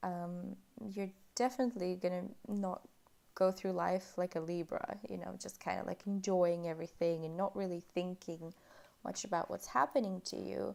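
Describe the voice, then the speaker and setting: Here is a woman with an unremarkable speaking voice at a medium pitch. She keeps a fairly even intonation at a moderate pace. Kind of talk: relaxing ASMR chat about astrology.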